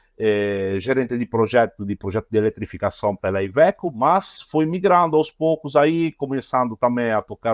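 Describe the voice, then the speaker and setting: Recorded very cleanly against a silent background with a dry, close sound and no echo, a man with an Italian accent speaks at a moderate pace and medium pitch with lively intonation. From Italy. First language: Italian (speaking Portuguese). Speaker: automotive engineer, product innovation manager. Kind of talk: podcast interview. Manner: halting.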